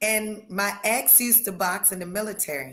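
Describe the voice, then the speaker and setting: A woman speaks at a fairly high pitch. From North Carolina, near the Virginia line. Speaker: professional boxer. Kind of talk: interview.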